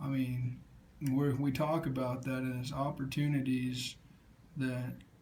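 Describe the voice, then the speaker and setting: Audible room echo surrounds a man speaking at a medium pitch. His delivery is flat and monotone at a fairly slow pace. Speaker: student presenter. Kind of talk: class presentation. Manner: halting.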